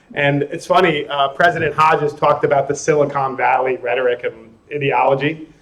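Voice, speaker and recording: With an American accent, a man talks at a fairly quick pace with hardly any pauses, his pitch fairly high and his intonation fairly even. Noticeable background noise runs under his voice. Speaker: conference speaker on educational technology. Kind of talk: conference presentation. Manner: loud; casual, conversational. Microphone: sound problems during part of the recording.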